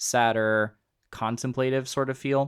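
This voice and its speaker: Delivered in a normal speaking voice, the speech keeps a moderate pace and fairly even intonation. The recording is very clean, with a silent background. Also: man. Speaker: guitar teacher. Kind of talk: tutorial.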